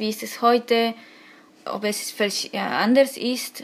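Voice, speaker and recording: A woman speaks with an Argentine accent at a fairly high pitch. Her intonation is monotone and flat. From Argentina. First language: Spanish (speaking German). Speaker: author and illustrator. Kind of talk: interview. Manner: halting.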